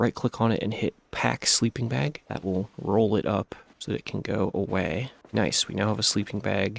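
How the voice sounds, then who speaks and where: With vocal fry and lively intonation, a man speaks at a moderate pace in a fairly low voice, and the sound is dry and close with no echo. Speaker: gaming YouTuber. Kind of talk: gameplay tutorial commentary.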